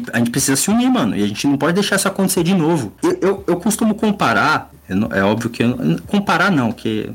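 Very fast, a man speaks with a high pitch. His pitch swings very widely. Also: very even loudness. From São Paulo area, Brazil. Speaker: illustrator and comic artist. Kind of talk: casual chat.

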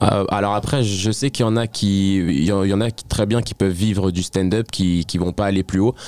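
The sound is dry and close with no echo as a man speaks at a moderate pace with fairly even intonation. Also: fairly low pitch for a man. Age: 20s. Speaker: stand-up comedian. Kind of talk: interview. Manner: halting.

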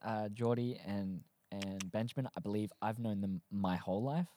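A fairly low-pitched man with an Australian accent, recorded dry and close with no echo. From South Australia. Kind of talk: casual chat. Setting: studio. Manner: animated.

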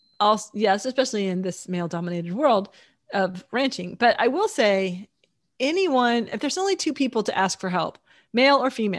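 In an American accent, a woman with an ordinary speaking voice talks at a fairly quick pace with lively intonation, on a very clean recording with a silent background. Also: fairly high pitch for a woman. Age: 60s. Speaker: podcast co-host and romance author. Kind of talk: casual chat.

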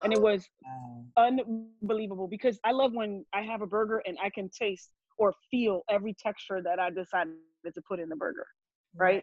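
With a New York accent, a woman talks at a fairly quick pace and medium pitch, using lively intonation and big swings in loudness. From New Jersey, born in Brooklyn; Haitian family. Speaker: burger business owner, cook. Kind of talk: casual podcast interview.

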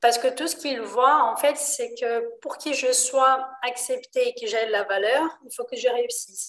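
A woman with a high pitch speaks in a Portuguese accent. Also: ordinary pitch variation, hardly any pauses. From Brazil, Rio de Janeiro. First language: Portuguese (speaking French). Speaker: enneagram trainer. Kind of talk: interview explaining a topic. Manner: hesitant.

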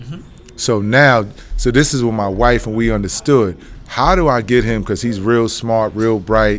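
Speaking with a New York accent, a man of medium pitch keeps a moderate pace. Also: ordinary pitch variation. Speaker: former college basketball player and youth coach. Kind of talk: interview. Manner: casual.

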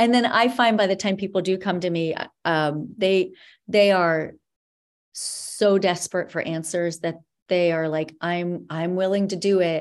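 A woman with a normal speaking voice talks fairly slowly at a medium pitch, her intonation fairly even. The recording is very clean with a silent background. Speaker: dietitian and wellness coach. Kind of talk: casual interview chat.

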